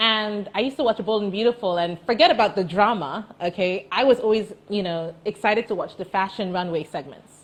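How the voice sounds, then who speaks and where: A woman with an unremarkable speaking voice talks fairly quickly at a medium pitch, with ordinary pitch variation. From Dubai, UAE (teen years in the US). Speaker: entrepreneur. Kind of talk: interview. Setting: Instagram live.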